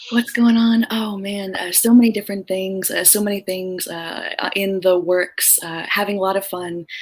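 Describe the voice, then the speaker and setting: Soft-spoken at a medium pitch, a woman talks at a moderate pace with fairly even intonation over noticeable background noise. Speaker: career coach. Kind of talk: interview.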